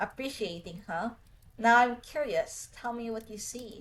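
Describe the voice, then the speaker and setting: Putting on a gruff character voice, a woman speaks at a moderate pace in a fairly high pitch. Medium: game stream. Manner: terse, dry.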